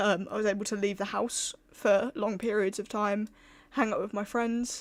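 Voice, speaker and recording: Soft-spoken and fairly high in pitch, a woman talks at a moderate pace with monotone, flat intonation. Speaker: streamer. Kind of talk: casual chat.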